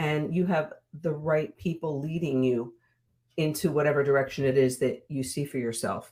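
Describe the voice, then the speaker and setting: At a moderate pace, a woman speaks with a very deep, low pitch and a dark, mellow tone. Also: ordinary pitch variation. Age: 60s. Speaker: women's mentor. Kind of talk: interview.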